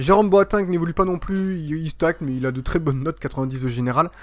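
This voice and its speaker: Very clean recording, silent background. A man with a fairly high pitch talks at a very fast pace with ordinary pitch variation. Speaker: gaming YouTuber. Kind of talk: gameplay commentary. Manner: hesitant, many fillers; fast when annoyed.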